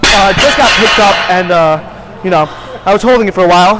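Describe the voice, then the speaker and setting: With clear music in the background, a man's speech moves at a fairly quick pace. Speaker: lifter vlogger. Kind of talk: casual vlog chat. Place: gym. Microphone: lapel.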